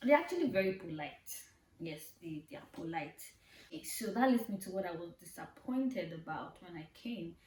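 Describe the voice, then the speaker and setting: Using lively intonation, a woman with a Nigerian accent talks at a fairly quick pace and a medium pitch. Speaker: vlogger. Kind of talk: casual vlog talk. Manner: animated.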